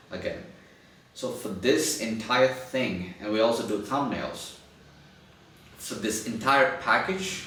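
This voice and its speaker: A man with a non-native accent and a medium pitch speaks with ordinary pitch variation, amid noticeable background noise and audible room echo. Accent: non-native English speaker. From India. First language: Telugu. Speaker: podcast post-production agency founder, YouTuber. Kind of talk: casual monologue to camera. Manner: halting, with restarts.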